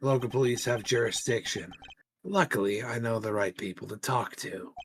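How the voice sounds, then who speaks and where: Putting on a raspy character voice, a man of medium pitch speaks at a moderate pace. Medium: game stream. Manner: blunt, self-assured.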